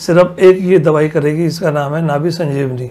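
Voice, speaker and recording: Against noticeable background noise, a man speaks with a high pitch and ordinary pitch variation. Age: 80s+. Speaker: Ayurvedic healer. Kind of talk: interview.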